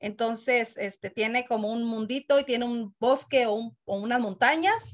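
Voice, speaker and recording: A woman uses a normal speaking voice at a moderate pace with fairly even intonation. The background is quiet. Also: fairly high pitch for a woman. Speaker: community committee member. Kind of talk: meeting comment. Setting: video call. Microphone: video call.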